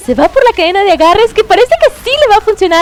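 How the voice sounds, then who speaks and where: Noticeable background noise is present. The talking goes at a very fast pace. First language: Spanish. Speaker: esports commentator. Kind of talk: live commentary. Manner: animated.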